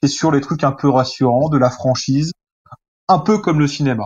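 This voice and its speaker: Talking at a moderate pace, a man uses a fairly high pitch with ordinary pitch variation. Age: 30s. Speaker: journalist and film critic. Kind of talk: interview. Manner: hesitant, with fillers and repetitions.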